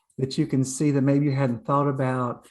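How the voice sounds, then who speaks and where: A woman with an American accent and a very deep, low pitch. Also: quiet background. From North Carolina, Blue Ridge Mountains. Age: 60s. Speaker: community leader and trainer. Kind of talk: presentation. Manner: halting, many fillers.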